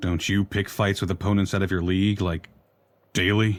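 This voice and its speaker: A man delivers a put-on character voice in a monotone, flat intonation. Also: fairly low pitch for a man, moderate pace. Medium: video game. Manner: tired, thoughtful.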